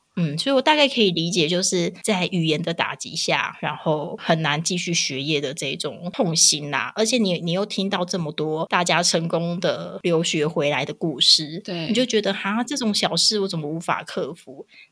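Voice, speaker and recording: Amid noticeable background noise, a woman with a fairly low pitch talks at a moderate pace with lively intonation and hardly any pauses. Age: 30s. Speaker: podcast co-host, mother. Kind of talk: casual chat. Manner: animated, frequent laughter.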